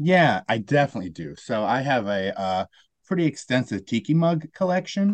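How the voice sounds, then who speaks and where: A man with an American accent, medium pitch and very wide pitch swings, at a moderate pace, dry and close with no echo against a quiet background. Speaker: caller. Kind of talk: casual call-in game chat. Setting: video call.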